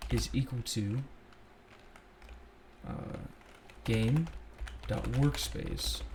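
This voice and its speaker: The speech moves at a very slow pace, broken by long, frequent pauses, with noticeable background noise. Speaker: scripting tutor. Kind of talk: casual screen-recorded tutorial. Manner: casual.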